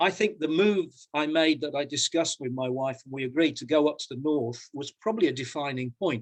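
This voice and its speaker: With a British accent, a man talks with big swings in loudness. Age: 60s. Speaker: professor and coach. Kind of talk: personal talk in an online panel conversation. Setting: video call. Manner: halting, many repetitions.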